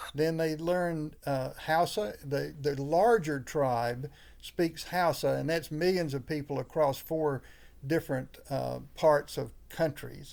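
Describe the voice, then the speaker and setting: With a Southern US accent, a man speaks at a very slow pace and a fairly high pitch, with ordinary pitch variation. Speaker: pastor. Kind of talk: interview conversation. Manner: halting, many fillers.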